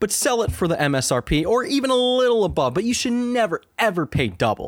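With very wide pitch swings, a man's voice takes on an animated tone. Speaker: gaming news podcast host. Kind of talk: casual chat.

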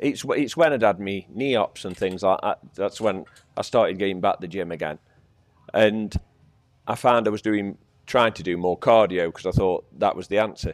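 Over a silent background in a very clean recording, a man with an ordinary speaking voice talks at a moderate pace, his pitch fairly low and its variation ordinary. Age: 50s. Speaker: gym member. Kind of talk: interview.

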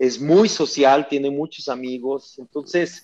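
A man is speaking. His pace is very slow. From Guadalajara, Mexico. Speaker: olympic triathlete and coach. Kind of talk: interview.

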